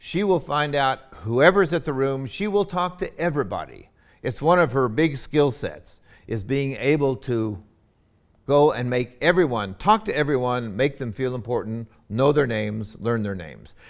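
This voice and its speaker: Lively intonation marks a man speaking at a moderate pace and a medium pitch. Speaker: university president. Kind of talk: recorded presentation. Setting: recording in a university tech lab.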